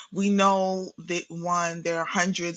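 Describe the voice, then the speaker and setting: Fairly slow and monotone, a woman speaks in a New York accent with flat intonation. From New York City (Brooklyn, Queens); born in Guyana. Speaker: therapist and spiritual practitioner. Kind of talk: podcast interview. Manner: halting, with many repetitions and fillers.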